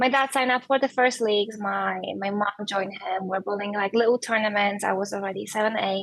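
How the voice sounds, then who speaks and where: The speech comes with a Polish accent at a fairly quick pace. There are hardly any pauses, and the intonation stays fairly even. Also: woman, medium pitch for a woman. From Poland. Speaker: professional bowler. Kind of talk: podcast interview.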